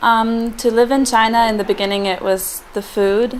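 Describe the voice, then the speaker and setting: Monotone, flat intonation at a moderate pace, over noticeable background noise. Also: woman. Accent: German. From Germany. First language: German. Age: 20s. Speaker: intern abroad. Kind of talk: interview testimonial. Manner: hesitant with many fillers.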